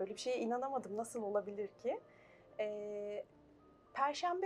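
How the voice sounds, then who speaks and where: A woman talks at a fairly quick pace. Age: 40s. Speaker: life coach. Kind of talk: TV interview.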